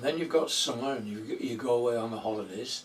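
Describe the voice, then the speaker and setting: A man speaks with a Yorkshire accent at a medium pitch. He keeps a moderate pace over noticeable background noise. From Yorkshire, northern England. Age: 80s+. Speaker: allotment vlogger. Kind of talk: casual monologue answering tag questions. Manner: hesitant, repeats words.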